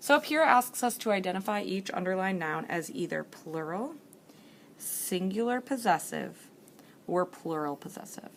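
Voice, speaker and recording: This woman has a normal speaking voice at a medium pitch, with lively intonation. Her loudness swings widely, and she talks at a moderate pace. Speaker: teacher. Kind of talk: tutorial. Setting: library.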